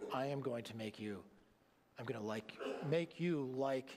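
This man speaks at a fairly slow pace in a medium pitch, his intonation lively. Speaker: pastor. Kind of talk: sermon; sermon with a plain, earnest, personal tone. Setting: church. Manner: conversational, warm and animated preaching with pauses and fillers; earnest, emphatic, insistent. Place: church.

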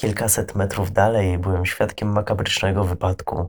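A man talks in a fairly low, somewhat breathy voice with flat, monotone intonation at a fairly slow pace. The recording is very clean, with a silent background. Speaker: creepypasta narrator. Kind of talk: scripted horror story narration, first-person creepypasta reading. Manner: hushed, slow, ominous storytelling tone with suspenseful pauses.

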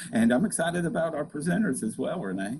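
Over noticeable background noise, the speaker talks very fast with an American accent and very wide pitch swings. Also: man. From Kentucky, US. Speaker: extension show co-host. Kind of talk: live webinar hosting. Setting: video call. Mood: friendly, upbeat. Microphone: webcam.

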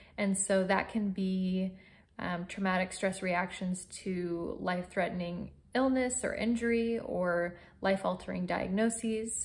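At a fairly slow pace, a woman talks with fairly even intonation and a somewhat breathy quality. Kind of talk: informational talk to camera. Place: home room. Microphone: phone near.

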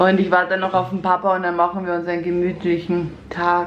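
Light background noise and audible room echo surround a woman talking at a moderate pace. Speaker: family vlogger. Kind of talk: casual vlog chat. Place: kitchen. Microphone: phone near.

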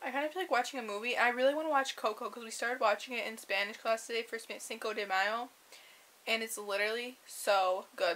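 Her tone bright and sharp, a woman speaks at a fairly quick pace. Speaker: vlogger. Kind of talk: casual vlog chat. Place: home room. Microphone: webcam.

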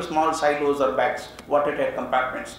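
Light background noise and audible room echo surround a man speaking at a moderate pace. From India. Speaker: education speaker. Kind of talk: lecture. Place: hall. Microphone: podium.

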